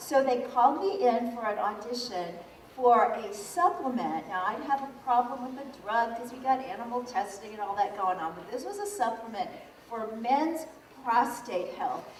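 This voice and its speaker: Over noticeable background noise and audible room echo, a high-pitched woman talks at a moderate pace with lively intonation and big swings in loudness. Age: 60s. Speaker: vegan author and speaker. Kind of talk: motivational talk. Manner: animated.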